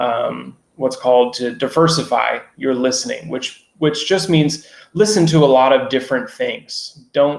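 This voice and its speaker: This man has a North American accent. His voice sits at medium pitch with ordinary pitch variation. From US, Seattle. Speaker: English teacher. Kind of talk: online lecture. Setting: live online stream. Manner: clear; moderate pace.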